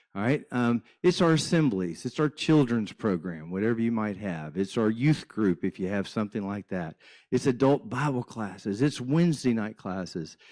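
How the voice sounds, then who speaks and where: An ordinary speaking voice from a man, medium pitch, moderate pace, lively intonation, a quiet background, and a dry, close sound with no echo. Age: 60s. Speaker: church minister and guest speaker. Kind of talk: church presentation.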